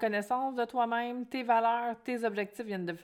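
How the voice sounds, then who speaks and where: A woman with a Quebec accent and an animated tone, at a fairly high pitch with ordinary pitch variation and a fairly slow pace, in a very clean recording with a silent background. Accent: Québécois French. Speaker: podcast host, financial coach. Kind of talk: solo podcast monologue.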